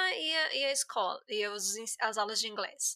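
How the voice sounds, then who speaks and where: With a raised, projected voice and a bright, sharp tone, a woman speaks at a moderate pace, her high pitch making very wide swings. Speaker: podcast host, English teacher. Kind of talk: casual interview chat.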